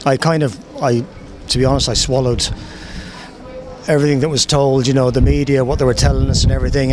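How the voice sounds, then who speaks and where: In an Irish accent, a man speaks at a very fast pace amid noticeable background noise and audible room echo. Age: 60s. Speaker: member of the public. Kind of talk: vox pop interview.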